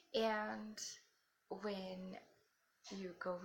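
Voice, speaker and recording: A woman, soft-spoken, against noticeable background noise. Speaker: spiritual vlogger. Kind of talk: casual talk to camera. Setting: at home.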